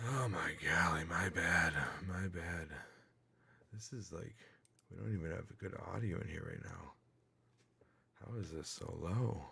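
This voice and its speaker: A man speaks at a fairly slow pace with a very deep, low pitch, lively intonation and long, frequent pauses. Noticeable background noise and audible room echo are present. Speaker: livestreamer. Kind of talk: casual livestream chat. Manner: animated; loud.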